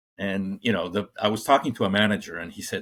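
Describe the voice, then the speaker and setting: A man speaks with a slight Colombian accent and a fairly low pitch. The recording is very clean with a silent background. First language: Spanish. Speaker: corporate trainer. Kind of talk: podcast interview. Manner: halting, many fillers.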